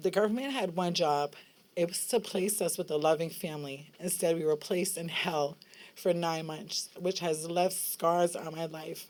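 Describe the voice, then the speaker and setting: With an American accent, a woman speaks in a normal speaking voice at a fairly low pitch, a moderate pace, and ordinary pitch variation. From New York City. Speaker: foster care survivor, advocate. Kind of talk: public testimony. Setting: rally at state capitol.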